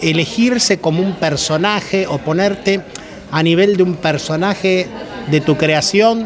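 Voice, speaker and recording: Pitched high for a man, this male voice moves at a fairly slow pace with ordinary pitch variation, amid noticeable background noise and audible room echo. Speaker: radio host. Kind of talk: interview. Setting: bar.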